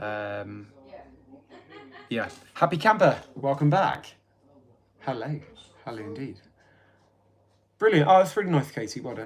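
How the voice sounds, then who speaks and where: Long, frequent pauses break up a man's fairly slow speech. His pitch swings very widely and his loudness shifts a great deal. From England. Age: 30s. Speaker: livestreamer. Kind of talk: casual livestream chat. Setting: live stream. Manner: chatty, informal.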